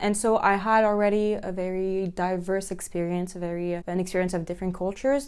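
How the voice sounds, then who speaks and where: At a fairly quick pace, a woman speaks in an unremarkable speaking voice at medium pitch with fairly even intonation. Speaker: recent high school graduate. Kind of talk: interview.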